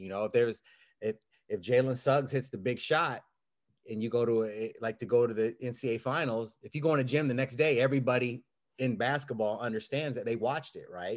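A man with an American accent speaks at a fairly quick pace. His medium-pitched voice keeps fairly even intonation. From US Midwest, Kansas City. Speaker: basketball coach. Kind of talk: casual chat. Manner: halting.

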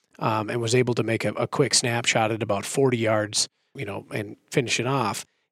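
Talking at a very fast pace with an Upper Midwest accent, a man keeps a fairly even intonation in a dry, close sound with no echo. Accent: Upper Midwest American. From central Minnesota. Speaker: optics company employee, hunter. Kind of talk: casual technical discussion.

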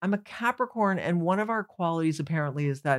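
On a very clean recording with a silent background, a woman with an unremarkable speaking voice talks at a fairly quick pace in a fairly low pitch with lively intonation. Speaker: comedian. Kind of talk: casual chat.

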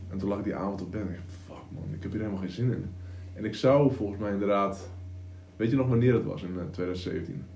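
In a room with audible echo, a man talks at a fairly quick pace in a dark, mellow, somewhat breathy tone with ordinary pitch variation. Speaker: online entrepreneur, coach. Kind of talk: casual chat. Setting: home studio.

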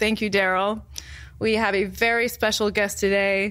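In a plain, everyday voice, a woman talks at a moderate pace and a fairly high pitch. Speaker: podcast co-host. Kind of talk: casual chat. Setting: stage with audience.

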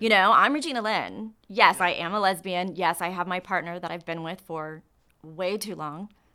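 Her tone is bright and sharp, and her loudness swings widely at a moderate pace. The woman's medium pitch varies in an ordinary way, on a very clean recording with a silent background. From Texas (Katy, near Houston). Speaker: sports entertainment host and producer. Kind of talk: casual interview chat.

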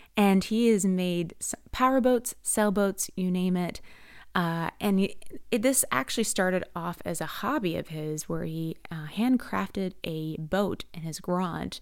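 Someone with an American accent speaks at a fairly slow pace with ordinary pitch variation on a very clean recording with a silent background. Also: woman, medium pitch for a woman. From US Mid-Atlantic, Maryland (Ellicott City). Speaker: podcast host. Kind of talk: podcast introduction monologue. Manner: halting with fillers and restarts.

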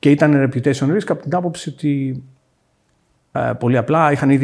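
In a plain, everyday voice, a man speaks at a moderate pace with ordinary pitch variation. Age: 40s. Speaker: fintech founder. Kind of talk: casual chat.

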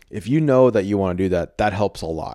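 A man with an American accent and a fairly low, dark, mellow voice speaks at a moderate pace with ordinary pitch variation, in a very clean recording with a silent background and a dry, close sound with no echo. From Texas. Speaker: podcast host and content creator. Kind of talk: casual chat.

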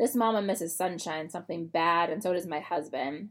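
A woman speaks at a fairly quick pace in a fairly low voice, with ordinary pitch variation. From North Carolina. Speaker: podcast host, startup founder and mother. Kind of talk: solo podcast monologue. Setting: recording at home on the floor. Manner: casual, with laughs and fillers.

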